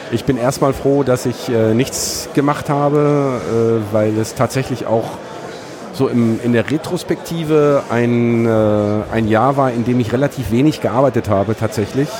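Over noticeable background noise, a man speaks at a fairly slow pace with medium pitch, fairly even intonation and very even loudness. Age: 50s. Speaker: former podcaster. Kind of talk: casual chat. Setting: at a conference with crowd noise around.

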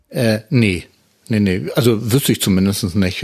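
Here a man speaks in an unremarkable speaking voice at a moderate pace. His pitch is fairly low, with ordinary pitch variation. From northern Germany, Hamburg area. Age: 50s. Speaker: podcaster, wheelchair user. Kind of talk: casual chat.

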